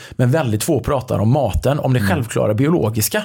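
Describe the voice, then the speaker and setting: Lively intonation in a man's somewhat breathy speech. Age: 50s. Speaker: triathlon coach. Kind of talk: casual chat. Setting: indoors at a resort in the evening.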